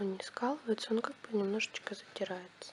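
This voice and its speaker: Amid noticeable background noise, a soft-spoken woman talks at a fairly high pitch. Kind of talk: ASMR product review to camera. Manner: quiet, soft-spoken.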